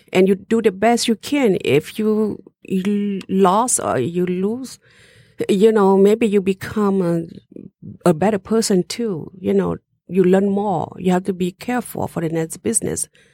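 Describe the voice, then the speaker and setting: A woman with a Southeast Asian accent speaks in a dark, mellow tone at medium pitch with ordinary pitch variation, in a dry, close sound with no echo. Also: fairly slow pace. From Laos, Hmong. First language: Hmong. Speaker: restaurant owner. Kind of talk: interview.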